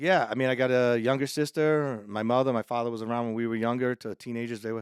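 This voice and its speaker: Talking at a very fast pace with a New York accent, this man has a medium pitch and fairly even intonation, heard in a dry, close sound with no echo on a very clean recording with a silent background. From New York, Bronx. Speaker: bar owner. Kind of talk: interview. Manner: casual.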